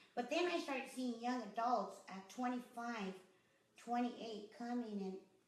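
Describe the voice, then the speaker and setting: Amid noticeable background noise and audible room echo, a woman with an American accent and a high pitch speaks at a fairly slow pace. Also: ordinary pitch variation. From Los Angeles, US. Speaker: boxing gym owner. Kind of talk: interview.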